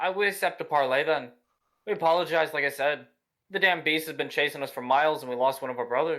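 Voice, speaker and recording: A man uses a gruff, put-on character voice with fairly high pitch and ordinary pitch variation, at a very fast pace. The recording is very clean, with a silent background. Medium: actual play. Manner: blunt, rough-spoken.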